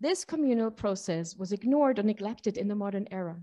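A dark, mellow tone over a quiet background. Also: woman. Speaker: panel moderator. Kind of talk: conference introduction. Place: hall. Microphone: podium.

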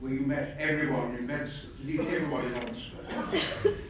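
A man speaks amid strong room echo. Light background noise is also present. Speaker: invited lecturer. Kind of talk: lecture. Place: hall. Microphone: camera far.

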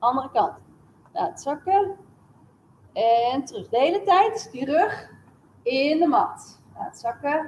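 A woman's high pitch with very wide pitch swings, at a very slow pace over light background noise. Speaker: fitness instructor. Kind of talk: exercise class instruction in Dutch. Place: gym.

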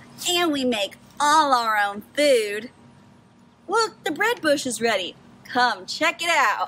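Speaking very slowly in a raised, projected voice, a woman lets her pitch swing very widely. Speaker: vlogger. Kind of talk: casual comedic vlog chat.

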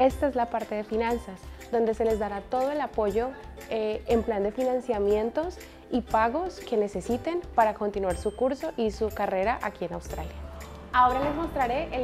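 Over clear background music, a woman talks at a moderate pace in a fairly high voice with ordinary pitch variation. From Colombia; Cali, Colombia. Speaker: student services staff member. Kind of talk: campus tour guide talk to camera. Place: office. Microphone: lapel.

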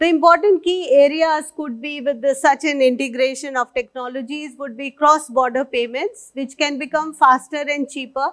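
Over a quiet background, a woman speaks at a high pitch and moderate pace with fairly even intonation and hardly any pauses. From India. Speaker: senior civil servant. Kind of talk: conference keynote speech. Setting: stage with audience. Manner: formal. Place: stage.

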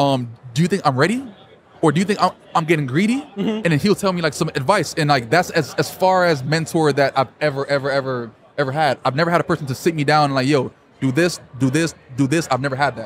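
In a dry sound with no echo and light background noise, a man speaks at a very fast pace, somewhat breathy, with ordinary pitch variation. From Jamaica. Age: 30s. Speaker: full-time trader; interviewee. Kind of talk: casual interview. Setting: trading event. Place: hall. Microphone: handheld.

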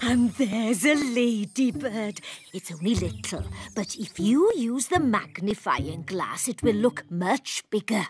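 A soft-spoken, female-sounding cartoonish character voice talks at a fairly slow pace with fairly high pitch. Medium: puppet show. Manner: soft, reassuring.

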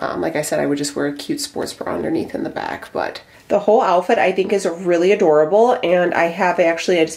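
The voice has a slightly mellow tone with vocal fry and ordinary pitch variation. It moves at a fairly quick pace, and audible room echo surrounds it. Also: woman.

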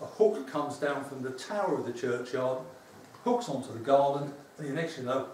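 A man's fairly high voice at a fairly quick pace, with audible room echo and light background noise. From London East End. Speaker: folk custom founder, former teacher. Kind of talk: lecture. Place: hall. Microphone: camera far.

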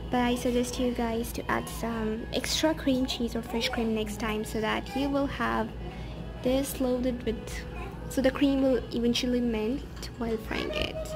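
Clear music plays behind a woman who speaks at a fairly slow pace. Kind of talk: cooking tutorial narration. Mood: cheerful, pleased. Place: kitchen. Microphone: phone near.

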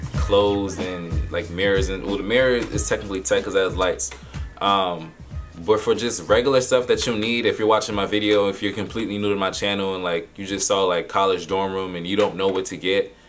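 A man's fairly low voice at a fairly quick pace, ordinary pitch variation, faint music in the background. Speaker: student vlogger. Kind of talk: casual vlog chat. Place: home room.

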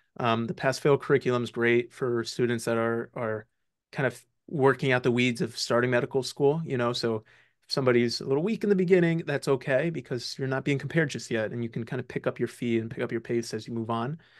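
Against a quiet background, a man talks very fast with ordinary pitch variation. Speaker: medical student; guest. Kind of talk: casual interview. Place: home room. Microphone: video call.

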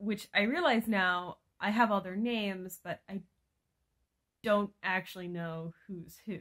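A woman at medium pitch, with fairly even intonation, big swings in loudness and long, frequent pauses, over a quiet background. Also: fairly slow pace. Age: 20s. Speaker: teacher vlogger; vlogger. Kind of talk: casual vlog. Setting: sitting in bed at home. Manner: chatty, rambling with fillers. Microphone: phone near.

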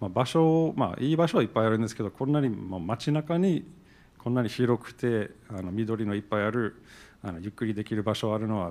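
Lively intonation at a fairly quick pace, in an English accent. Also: man. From New Jersey, US. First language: English (speaking Japanese). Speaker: event organizer, business owner; panelist. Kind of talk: panel discussion. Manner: halting. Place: hall. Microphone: handheld.

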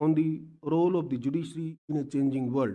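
A man's tone is dark and mellow, set against a quiet background. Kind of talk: formal speech. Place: hall. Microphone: podium.

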